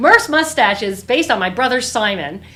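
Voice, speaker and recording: Audible room echo surrounds a woman's voice. She talks at a moderate pace with lively intonation. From Newfoundland, St. John's. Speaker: author. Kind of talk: book launch Q&A. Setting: virtual event.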